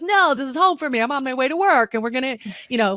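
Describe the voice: A put-on character voice, high-pitched and very fast, bounces with lively intonation.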